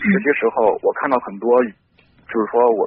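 This man's voice sits at a medium pitch and rises and falls in an ordinary way. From Henan, Xinzheng. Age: 20s. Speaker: young entrepreneur calling for advice. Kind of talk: phone-in advice call. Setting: phone call. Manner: halting.

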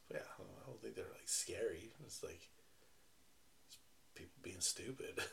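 Speaking at a moderate pace, a man leaves long, frequent pauses and swings widely in loudness. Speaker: husband reacting to stories. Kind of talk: casual chat, reacting to spooky stories.

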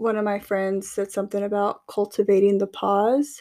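Recorded very cleanly with a silent background, a woman speaks at medium pitch and a fairly slow pace in an ordinary speaking voice. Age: 30s. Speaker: podcast co-host. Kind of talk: casual chat.

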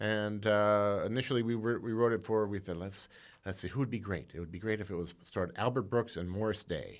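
A man with an American accent speaks in a normal speaking voice, fairly low in pitch with ordinary pitch variation, at a fairly quick pace on a very clean recording with a silent background. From Indiana, US Midwest. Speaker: screenwriter. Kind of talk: casual chat.

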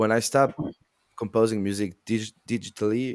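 In a French accent, a man speaks slowly-ish at a fairly low pitch with fairly even intonation, on a very clean recording with a silent background. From France, French Alps. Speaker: sound designer and composer. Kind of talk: casual chat.

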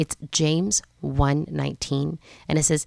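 A woman with a very deep, low voice. The sound is dry and close, without any echo. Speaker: podcast host. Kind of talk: solo podcast talk aimed at teen girls. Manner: fast talker, animated; loud, talkative.

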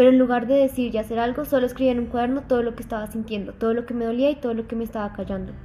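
A woman speaks at a very fast pace in a high pitch with hardly any pauses. Her intonation is monotone and flat, and there is noticeable background noise. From Mexico (Mérida, Yucatán) then Colombia from about age 10. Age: 20s. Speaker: university student. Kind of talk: personal testimony interview.

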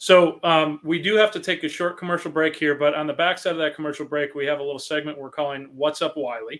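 This man has a normal speaking voice, fairly high for a man, and talks at a fairly quick pace with an American accent. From US Midwest, Chicago area. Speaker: podcast host, property management business owner. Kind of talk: casual talk show interview. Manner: frequent fillers and repetitions.

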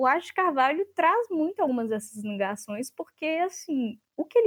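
A woman's lively intonation at a moderate pace. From Brazil (born in Chile, moved at six). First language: Spanish and Portuguese (bilingual) (speaking Portuguese). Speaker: literature researcher. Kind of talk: academic interview.

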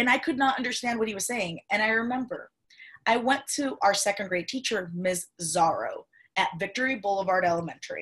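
Speaking at a fairly quick pace with a Spanish accent, a woman uses a fairly high pitch and ordinary pitch variation against a quiet background. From Cuba. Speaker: podcast host. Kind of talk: interview.

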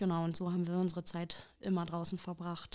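This very clean recording has a silent background. The woman goes at a moderate pace. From Germany, Ruhr area (Haltern near Recklinghausen). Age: 30s. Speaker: interviewee. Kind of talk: life-story interview. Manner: hesitant, many filler sounds.

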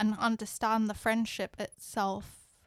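Very clean recording, silent background, and a woman's fairly high-pitched voice. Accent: British. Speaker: podcast co-host. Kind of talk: casual chat. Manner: matter-of-fact.

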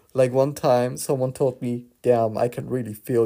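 A man at medium pitch with a dark, mellow tone, a non-native accent, fairly even intonation and a fairly slow pace. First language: not English. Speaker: spirituality podcaster. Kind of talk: casual monologue.

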